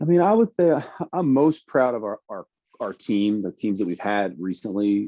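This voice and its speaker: A man speaks with lively intonation. His pitch is fairly low. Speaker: college basketball head coach. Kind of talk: interview. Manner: fast.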